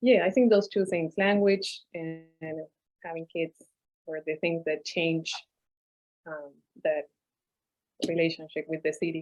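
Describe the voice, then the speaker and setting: A woman's fairly low voice in a Spanish accent, at a fairly slow pace with fairly even intonation, big swings in loudness, and long, frequent pauses. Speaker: novelist. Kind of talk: panel discussion. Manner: hesitant, many fillers.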